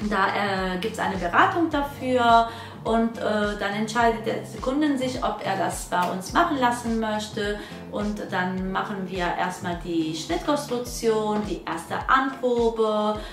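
Very slow speech over clear background music, with audible room echo. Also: woman. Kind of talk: channel introduction talk. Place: workshop.

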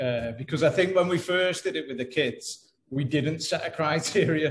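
A man speaks at a fairly slow pace with fairly even intonation and a somewhat breathy voice over light background noise. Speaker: guest. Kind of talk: interview answer. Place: home room. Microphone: video call.

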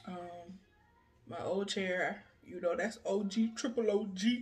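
A woman talks at a slow pace and medium pitch, her voice carrying a husky, rough edge and a slightly mellow tone with fairly even intonation.

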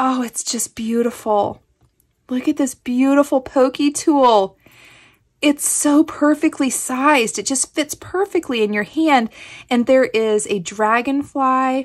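The animated tone comes at a fairly slow pace with an American accent, set against a quiet background. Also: woman, high pitch for a woman, ordinary pitch variation. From Kansas. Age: 40s. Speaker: craft YouTuber. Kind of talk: casual unboxing chat. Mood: delighted, grateful.

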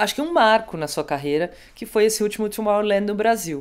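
Over a silent background in a very clean recording, a woman with a plain, everyday voice speaks at a medium pitch and a moderate pace. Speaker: music show host. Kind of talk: casual interview.

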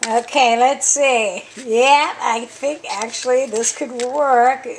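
A very slow pace over light background noise. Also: woman. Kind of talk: casual vlog chat. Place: kitchen. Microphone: phone near.

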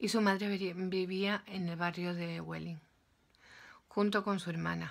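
A woman's fairly low voice at a fairly slow pace. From Spain, Málaga; Spain. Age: 40s. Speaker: YouTuber. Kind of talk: opinion vlog monologue. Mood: earnest, emotional storytelling. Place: home room. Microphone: phone near.

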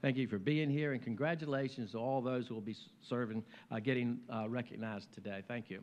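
Talking at a fairly quick pace with an American accent, a man uses an ordinary speaking voice at a medium pitch with ordinary pitch variation. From US South, Virginia. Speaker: mayor. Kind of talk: speech. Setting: luncheon stage with audience. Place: hall. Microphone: podium.

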